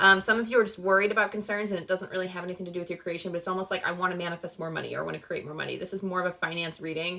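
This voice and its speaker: A woman speaks very fast at a medium pitch, her intonation monotone and flat, with noticeable background noise. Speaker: tarot reader. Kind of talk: tarot reading. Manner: casual with many fillers.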